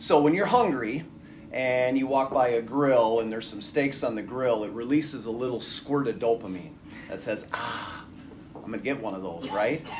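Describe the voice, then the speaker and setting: A man with a medium pitch can be heard. The recording carries audible room echo and noticeable background noise. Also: ordinary pitch variation, moderate pace. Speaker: addiction counselor. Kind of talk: lecture. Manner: loud.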